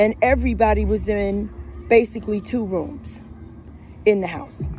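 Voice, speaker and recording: Music plays in the background. The speaker has an American accent and keeps a moderate pace. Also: woman. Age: 60s. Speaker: recovering addict sharing her story. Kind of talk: personal testimony.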